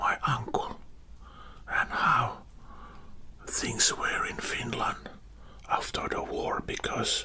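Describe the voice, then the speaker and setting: A man whispering at a very slow pace over noticeable background noise. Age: old. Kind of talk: ASMR storytelling. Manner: whispered, soft-spoken.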